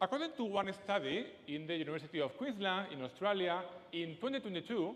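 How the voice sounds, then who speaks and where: A man with a strong Spanish accent and a high pitch speaks at a moderate pace with very wide pitch swings. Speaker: speaker. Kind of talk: TEDx talk. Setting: stage with audience.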